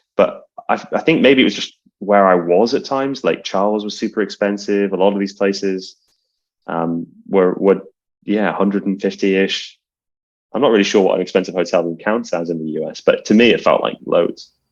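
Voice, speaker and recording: Speaking with a British accent, a man uses a fairly low pitch at a moderate pace with ordinary pitch variation. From UK. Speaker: card counter. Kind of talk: casual chat.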